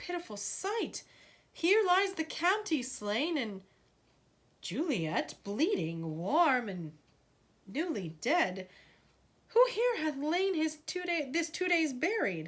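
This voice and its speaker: A woman puts on a high-pitched character voice, moving at a very slow pace with long, frequent pauses and very wide pitch swings. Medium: read story. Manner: commanding.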